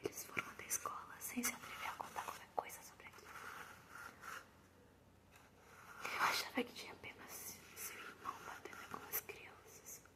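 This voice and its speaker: Whispering at a moderate pace, a woman leaves long, frequent pauses, with big swings in loudness and noticeable background noise. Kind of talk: ASMR horror story narration. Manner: soft-spoken, whispery ASMR delivery.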